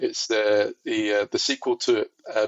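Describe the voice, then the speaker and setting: A man speaks with a Scottish accent. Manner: casual, hesitant, with fillers.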